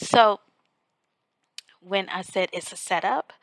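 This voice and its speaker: A quiet woman's voice at medium pitch comes at a fairly slow pace, with a dry, close sound and no echo. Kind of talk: informal devotional talk to camera. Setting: on vacation, others asleep nearby. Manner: quiet, hushed.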